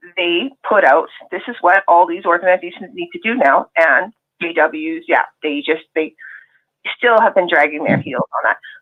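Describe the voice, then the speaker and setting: This woman has an unremarkable speaking voice with a Canadian accent and a fairly low pitch. She talks at a moderate pace with lively intonation. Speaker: ex-Jehovah's Witness participant. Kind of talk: casual chat.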